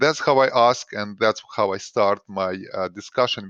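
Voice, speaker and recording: A man with a non-native accent and ordinary pitch variation, in a dry, close sound with no echo against a quiet background. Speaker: doctor giving health advice. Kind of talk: recorded presentation. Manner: hesitant, with frequent uh fillers.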